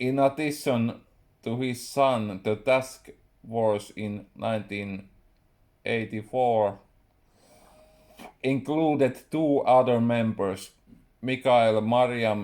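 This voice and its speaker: A man with a Finnish accent speaks at a medium pitch. His delivery is very slow, with long, frequent pauses. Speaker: writer. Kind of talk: reading aloud. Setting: live stream.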